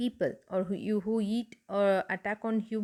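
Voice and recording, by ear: With fairly even intonation, this voice is reading aloud in a natural voice.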